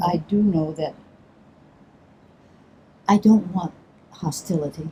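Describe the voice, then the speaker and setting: Somewhat breathy and dark, mellow in tone, a woman with an American accent speaks at a fairly low pitch and a fairly slow pace with fairly even intonation. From Chicago. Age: 80s+. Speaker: stage actor. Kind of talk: interview answer. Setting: outdoors.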